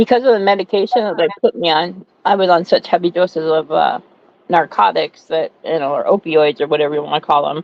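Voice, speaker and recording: A normal speaking voice, fairly quick, with ordinary pitch variation. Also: woman, fairly low pitch for a woman. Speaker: co-host. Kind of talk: casual chat.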